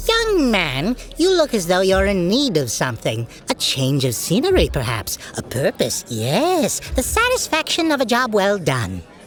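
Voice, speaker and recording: Someone does a put-on character voice at a moderate pace with clear background noise behind it. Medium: audio drama. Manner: genteel, theatrical.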